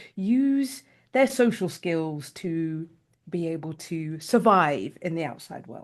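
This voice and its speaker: A woman with a British accent, very slow pace and lively intonation, in a quiet background. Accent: British accent, noted as funny. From United Kingdom. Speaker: life coach. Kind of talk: casual panel chat.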